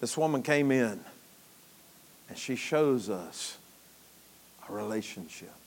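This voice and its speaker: Animated and lively in intonation, a man with a medium pitch speaks at a fairly slow pace, with long, frequent pauses and big swings in loudness. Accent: Southern US. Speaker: preacher. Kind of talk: sermon. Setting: church. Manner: folksy, joking, interactive with the congregation; animated, exhorting, preaching cadence.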